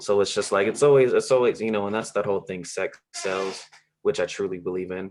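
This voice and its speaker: A man with an American accent talks in a normal speaking voice, pitched fairly low. He keeps a fairly quick pace and fairly even intonation. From Los Angeles. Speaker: podcast host. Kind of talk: casual chat.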